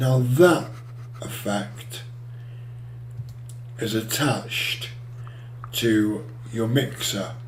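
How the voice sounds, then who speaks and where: A male voice of medium pitch comes through noticeable background noise and audible room echo, his intonation fairly even. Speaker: music software tutorial maker. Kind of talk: tutorial.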